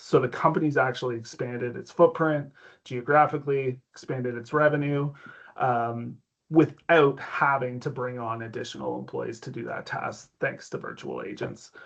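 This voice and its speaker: In an ordinary speaking voice, a man with a Canadian accent talks at a medium pitch and moderate pace with fairly even intonation. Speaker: tech company executive. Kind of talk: interview.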